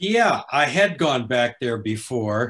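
Against a quiet background, a man with an American accent speaks at a very slow pace. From Los Angeles. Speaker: author and former actor; guest. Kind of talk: panel interview. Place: home room.

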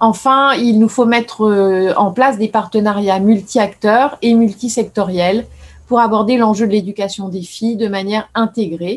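A woman speaks in a fairly high pitch at a moderate pace. Her voice is somewhat breathy, with fairly even intonation. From France. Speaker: government foreign affairs official; speaker. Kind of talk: formal speech. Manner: formal. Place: office. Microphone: video call.

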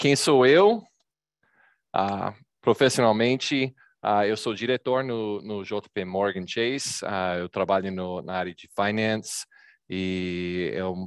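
Over a quiet background, a man with an American accent talks at a very slow pace. His pitch is fairly low, and the sound is dry, with no echo. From Texas. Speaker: data visualization presenter; presenter. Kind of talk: presentation. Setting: video call. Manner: animated. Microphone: video call.

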